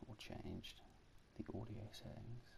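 A soft-spoken man with a dark, mellow tone and vocal fry, fairly even intonation, at a fairly slow pace. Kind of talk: ASMR gameplay commentary.

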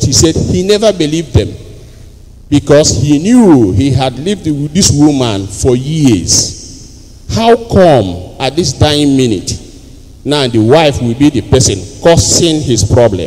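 Animated delivery in a Nigerian accent, fairly slow, with very wide pitch swings. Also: man. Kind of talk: homily. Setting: church with congregation. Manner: animated, call-and-response preacher; formal, teaching tone. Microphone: handheld.

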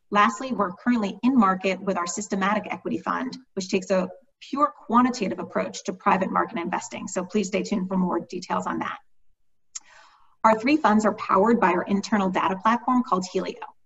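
Speech at a fairly quick pace shows ordinary pitch variation. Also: woman. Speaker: panel host. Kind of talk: webinar introduction. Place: home room. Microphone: webcam.

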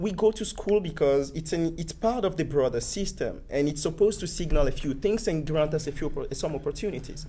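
Here a man talks at a fairly quick pace. He takes hardly any pauses. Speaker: panel member. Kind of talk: panel discussion. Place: studio.

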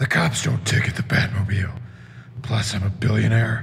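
Putting on a character voice, a man speaks at a moderate pace in a medium pitch. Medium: stage. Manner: gruff.

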